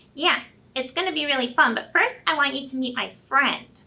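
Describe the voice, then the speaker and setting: Putting on a nasal character voice, a woman talks at a fairly quick pace and a high pitch. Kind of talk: playful, kids' class.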